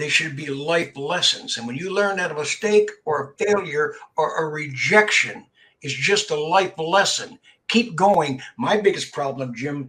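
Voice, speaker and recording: A man's fairly high, bright and sharp voice with an American accent, ordinary pitch variation and a fairly slow pace. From Canada, Windsor Ontario. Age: 80s+. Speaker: youth mentor, former boxer and broadcaster. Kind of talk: interview conversation. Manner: repetitive stammering starts.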